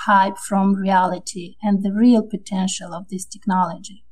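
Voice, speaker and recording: Fairly slow and somewhat breathy, a woman speaks. Her tone is dark and mellow. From Moldova. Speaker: World Bank officer. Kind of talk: interview.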